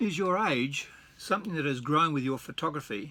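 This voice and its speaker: In an Australian accent, a man uses a fairly high pitch, a bright, sharp tone and lively intonation. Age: 70s. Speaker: retired wedding photographer. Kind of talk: casual vlog, partly reading aloud from his blog. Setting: at home, reading from his computer. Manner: halting, with repeated words.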